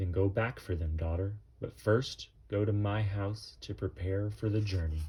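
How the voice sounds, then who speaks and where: A man puts on a character voice, pitched fairly low. He keeps a moderate pace. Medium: read story. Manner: calm, fatherly, reassuring.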